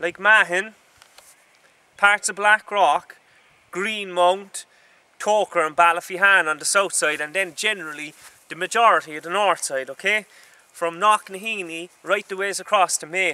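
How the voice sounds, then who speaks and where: With a Cork accent, a man projects a raised voice at a high pitch in a bright, sharp tone, keeping fairly even intonation at a moderate pace amid long, frequent pauses and big swings in loudness. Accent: Cork Irish. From Ireland, Cork City. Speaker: vlogger. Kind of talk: casual vlog monologue. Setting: outdoors in woods. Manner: halting, repetitive.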